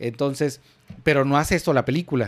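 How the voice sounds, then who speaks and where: The speaker has a Mexican accent. The delivery moves at a fairly quick pace. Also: man, very clean recording, silent background. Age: 30s. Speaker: podcast co-host. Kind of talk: casual chat; scripted narration.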